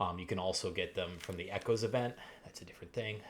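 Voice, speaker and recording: A somewhat breathy man's voice of medium pitch. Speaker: gaming video creator. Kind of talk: gaming tutorial. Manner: fast; halting, many fillers.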